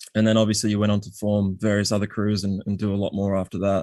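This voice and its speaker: A voice with an Australian accent and a dark, mellow tone speaks at a fairly quick pace in a flat monotone. The recording is very clean, with a silent background. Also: man. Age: 30s. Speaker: podcast host. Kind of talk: casual interview.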